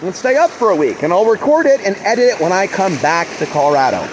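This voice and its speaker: A loud man at a very fast pace, with very wide pitch swings and noticeable background noise. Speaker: spiritual vlogger. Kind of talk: casual monologue. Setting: outdoors by a river.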